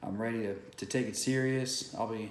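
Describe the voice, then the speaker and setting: A man with an American accent speaks in a flat monotone, with audible room echo and light background noise. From San Antonio, Texas. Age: 30s. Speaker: small business owner. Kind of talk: casual talk to camera. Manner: hesitant, many fillers. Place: home room. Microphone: webcam.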